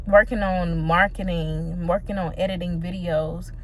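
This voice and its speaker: A woman with a fairly low pitch speaks over noticeable background noise, with audible room echo around her voice. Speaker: small business owner vlogger. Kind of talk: casual vlog monologue.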